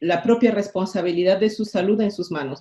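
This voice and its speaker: Her pitch moves with ordinary variation. The woman's tone is dark and mellow. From Peru. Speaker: pulmonologist. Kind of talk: interview.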